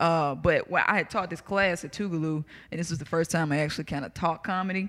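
Very fast and very deep for a woman, her voice carries a Southern US accent and fairly even intonation. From US South. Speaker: comedian. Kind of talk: casual chat.

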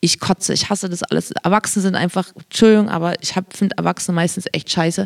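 Very fast and monotone, a woman speaks at a medium pitch with flat intonation in a dry, close sound with no echo. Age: 30s. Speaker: podcast co-host. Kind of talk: casual chat.

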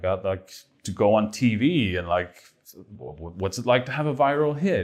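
A man's fairly low voice in a Swedish accent with very wide pitch swings at a moderate pace, on a very clean recording with a silent background. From Sweden. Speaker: film director. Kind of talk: interview.

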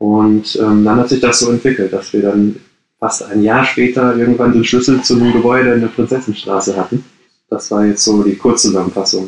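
A man speaks at a medium pitch and a fairly quick pace, with monotone, flat intonation and very even loudness. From Ruhr area, Germany (Gladbeck). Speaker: coworking space founder. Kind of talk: interview. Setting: video call from his bedroom at home. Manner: halting, many fillers.

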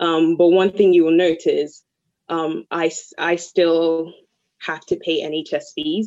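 Pitched fairly low, a woman's voice carries a dark, mellow tone. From Nigeria. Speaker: poet. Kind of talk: testimony. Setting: video call.

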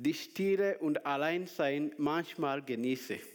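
A man speaks very slowly with a non-native accent. The recording is very clean, with a silent background. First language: not German (speaking German). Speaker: preacher. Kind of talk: sermon. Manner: halting.

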